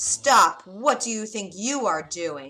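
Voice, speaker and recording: A woman's put-on character voice at medium pitch, fairly slow in pace, with faint music in the background. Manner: loud, shouting.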